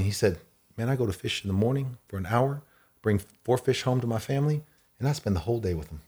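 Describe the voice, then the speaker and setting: Against a silent background in a very clean recording, a man with an American accent talks very fast with lively intonation and a somewhat breathy voice. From Texas (Allen). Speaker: entrepreneur. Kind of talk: casual chat. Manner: animated.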